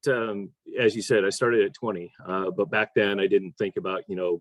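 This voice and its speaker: In an unremarkable speaking voice, a man with an American accent talks at a fairly low pitch and moderate pace with ordinary pitch variation. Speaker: real estate investor. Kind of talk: interview.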